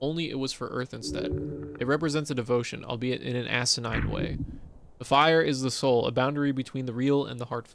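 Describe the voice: The passage is plain reading aloud with fairly even intonation.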